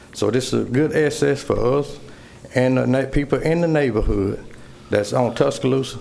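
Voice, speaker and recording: With audible room echo, a man speaks at a fairly quick pace. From US South. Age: 60s. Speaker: resident speaking at public hearing. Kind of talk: public comment. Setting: city council chamber podium.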